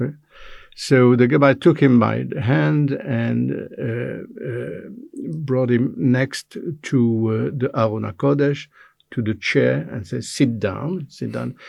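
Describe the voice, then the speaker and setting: A man talks with a French accent. His pace is very slow. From Belgium, French-speaking. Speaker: interviewee, retired manager. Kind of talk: interview. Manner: halting, many fillers.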